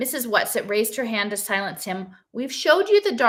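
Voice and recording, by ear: The passage is read aloud in a natural voice.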